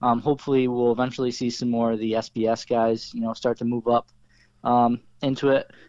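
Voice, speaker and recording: With an American accent and a normal speaking voice, a man talks at medium pitch and a fairly quick pace, recorded dry and close with no echo against a quiet background. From Oswego area, upstate New York. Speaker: race car driver. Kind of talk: interview.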